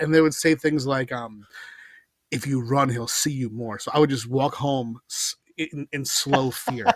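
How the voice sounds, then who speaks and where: An ordinary speaking voice with an American accent moves at a moderate pace with ordinary pitch variation, in a dry, close sound with no echo. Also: man. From New York, Long Island. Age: 30s. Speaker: comic book writer. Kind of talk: casual chat.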